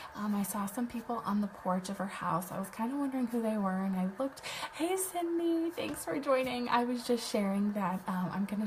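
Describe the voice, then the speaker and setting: Over noticeable background noise, a soft-spoken woman talks with fairly high pitch and lively intonation. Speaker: web designer and online business host. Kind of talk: casual livestream chat. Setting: live video stream at home. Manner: quiet, soft-spoken; hesitant, many fillers.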